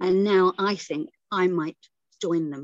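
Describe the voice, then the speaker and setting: At a very slow pace, a woman speaks with medium pitch and ordinary pitch variation. The sound is dry and close, with no echo. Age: 60s. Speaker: poet. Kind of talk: poetry reading; casual chat. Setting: stage with audience.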